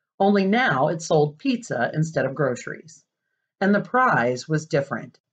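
Over a quiet background, the voice is plain reading aloud.

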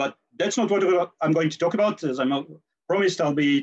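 A man talks at a moderate pace with lively intonation against a quiet background. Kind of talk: lecture. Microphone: video call.

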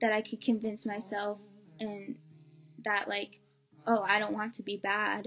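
Over faint background music, a woman talks at a moderate pace in a flat, monotone delivery. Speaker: vlogger. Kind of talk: personal story vlog. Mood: earnest, emotional. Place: home room. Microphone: webcam.

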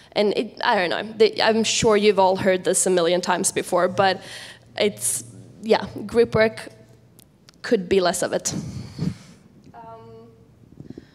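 With a Swedish accent, a woman speaks at a very slow pace with long, frequent pauses. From Sweden. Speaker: international student representative; panelist. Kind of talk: panel presentation. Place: hall. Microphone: handheld.

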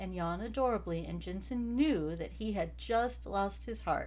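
This is an unforced reading voice. The reading comes without strain.

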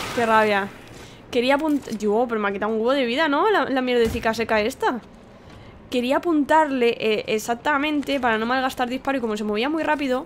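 In a Spanish accent, a woman speaks at a fairly quick pace with an animated tone and a high pitch. Her pitch variation is ordinary, with light background noise behind her. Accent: Peninsular Spanish. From Spain. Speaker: gaming YouTuber. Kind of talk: let's play commentary. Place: home room. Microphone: studio mic.

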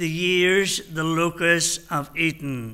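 A man's voice comes through with a bright, sharp tone. The background is quiet. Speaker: minister. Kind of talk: sermon. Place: church. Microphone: podium.

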